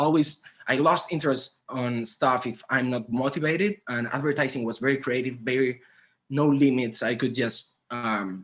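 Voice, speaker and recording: A man speaks with a Spanish accent at medium pitch. His pitch variation is ordinary. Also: moderate pace. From Spain (Santander, north). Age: 30s. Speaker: graphic designer. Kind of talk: conference talk. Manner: halting.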